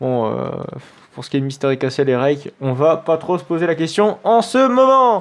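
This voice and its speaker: This man's voice sits at a fairly high pitch. His pitch swings very widely. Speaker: gaming youtuber. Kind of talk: let's play commentary. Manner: fast; hesitant, many fillers.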